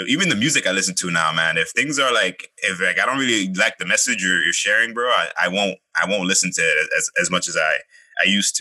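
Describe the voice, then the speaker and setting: A man talks at a very fast pace. His loudness stays very even. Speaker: podcast co-host. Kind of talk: casual chat. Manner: animated.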